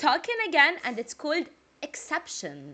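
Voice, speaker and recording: A woman's bright, sharp voice with a Jordanian accent. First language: Arabic. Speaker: music reaction youtuber. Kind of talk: casual reaction video chat. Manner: talkative.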